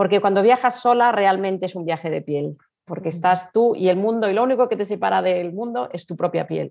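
A woman with a normal speaking voice talks at a fairly quick pace with ordinary pitch variation. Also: medium pitch for a woman. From Spain. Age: 50s. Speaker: travel blogger and tour organizer. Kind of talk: interview.

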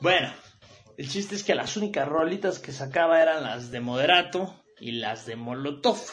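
Over music in the background, a man with a Mexican accent talks in a fairly high pitch, with an animated tone, lively intonation and big swings in loudness. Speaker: radio show host. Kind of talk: casual monologue.

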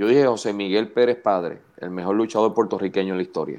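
A man speaks in an ordinary speaking voice. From Puerto Rico (Canóvanas area). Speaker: wrestling commentator. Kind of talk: casual chat. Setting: video call.

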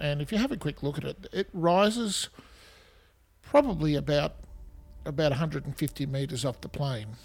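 With an Australian accent and a somewhat breathy, fairly high voice, a man uses lively intonation and takes long, frequent pauses. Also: moderate pace. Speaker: podcast host. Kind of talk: scripted-style history podcast narration, informal. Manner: informal, conversational, hesitant with fillers.

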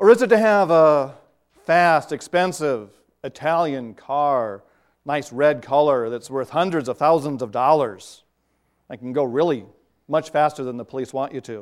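A man with a normal speaking voice and fairly high pitch, lively intonation, big swings in loudness and a moderate pace, on a very clean recording with a silent background. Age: 50s. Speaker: pastor. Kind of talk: sermon.

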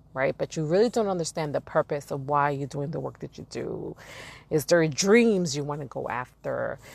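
A woman with a New York accent, very deep and low in pitch, at a moderate pace, with an animated tone, lively intonation and big swings in loudness. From Brooklyn, New York. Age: 40s. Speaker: podcast host. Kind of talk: casual monologue.

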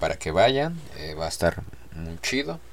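Very wide pitch swings come through over noticeable background noise. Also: man. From Mexico City. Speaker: podcast host. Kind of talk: casual monologue. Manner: animated.

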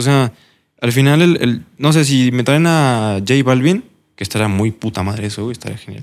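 A man speaks at a moderate pace with a medium pitch, ordinary pitch variation and a normal speaking voice. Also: very clean recording, silent background. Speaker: podcast host. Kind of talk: casual interview chat.

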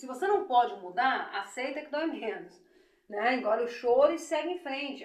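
At a moderate pace, a woman speaks with lively intonation in a space with audible room echo. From Rio de Janeiro state, Brazil (Belford Roxo). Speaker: businesswoman, beauty school owner. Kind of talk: interview, life story.

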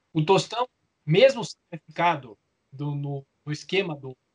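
This man has an unremarkable speaking voice, fairly high in pitch, at a moderate pace, with a dry, close sound and no echo. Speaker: sports journalist and author. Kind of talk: interview.

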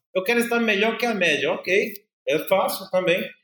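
A man talks at a moderate pace. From Brazil, Paraíba (northeast), raised partly in São Paulo. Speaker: business executive. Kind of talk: interview.

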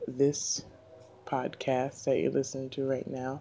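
Over noticeable background noise, a soft-spoken woman talks at a very deep, low pitch. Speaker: podcast host. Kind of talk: casual monologue. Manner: frequent fillers.

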